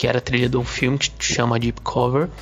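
A man at medium pitch, fairly even in intonation, with noticeable background noise. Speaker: journalist. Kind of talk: recorded testimonial.

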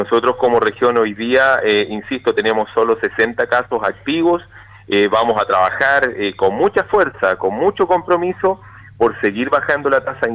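An unremarkable speaking voice from a man, medium pitch, ordinary pitch variation, moderate pace. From southern Chile, Río Bueno. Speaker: regional government official. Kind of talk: radio interview. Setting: phone call. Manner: formal.

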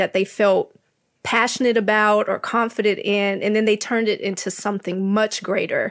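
This woman has an ordinary speaking voice, fairly high in pitch, at a moderate pace. The recording is very clean, with a silent background. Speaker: graphic designer. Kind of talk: casual panel discussion.

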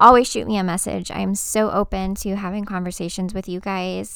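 A woman with an American accent and an animated tone at a moderate pace, on a very clean recording with a silent background. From Texas. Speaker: podcast host, military veteran, notary business owner. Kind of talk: casual personal monologue. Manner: animated, laughing.

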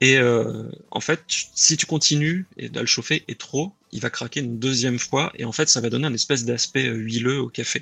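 With a bright, sharp tone and ordinary pitch variation, a man speaks with hardly any pauses in a dry, close sound with no echo. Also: medium pitch for a man, moderate pace. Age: 30s. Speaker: aspiring coffee roaster. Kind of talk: interview. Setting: live stream.

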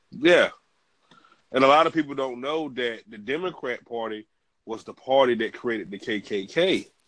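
Delivered in an ordinary speaking voice, the speech moves at a moderate pace with ordinary pitch variation and big swings in loudness. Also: man, medium pitch for a man. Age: 30s. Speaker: podcast host. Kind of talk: interview.

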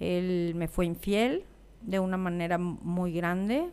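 This very clean recording, with a silent background, captures a woman's fairly low-pitched voice. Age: 50s. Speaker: life coach and podcast host. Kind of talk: personal monologue. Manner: somewhat serious.

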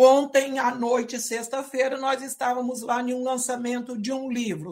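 A woman speaks at a high pitch. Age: 50s. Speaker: educator. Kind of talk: lecture. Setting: video call. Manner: many fillers and hesitations.

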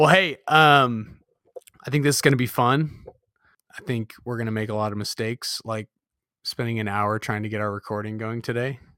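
In an American accent, a man with a bright, sharp tone and medium pitch reads at a moderate pace with long, frequent pauses and ordinary pitch variation, the sound dry and close with no echo. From Southern California. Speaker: podcast host and amateur triathlete. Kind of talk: casual chat.

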